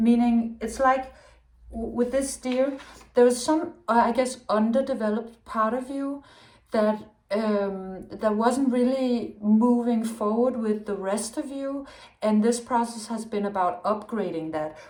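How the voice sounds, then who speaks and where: At a fairly slow pace, a speaker with a Danish accent talks amid audible room echo. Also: woman, fairly high pitch for a woman, ordinary pitch variation. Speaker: tarot reader. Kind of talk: tarot reading. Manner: halting.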